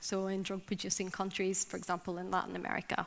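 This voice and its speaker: This woman's voice has a bright, sharp tone. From Northern Ireland. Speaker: drug policy advocate. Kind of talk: conference talk.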